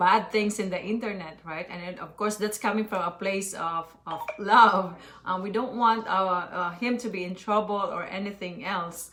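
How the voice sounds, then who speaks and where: Over noticeable background noise, a woman at medium pitch talks at a moderate pace with hardly any pauses, fairly even intonation and big swings in loudness. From Philippines. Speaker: mother and online business owner. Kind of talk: live stream chat.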